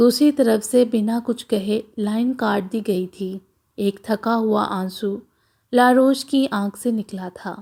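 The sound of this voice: Against a quiet background, the speaker uses an unforced reading voice.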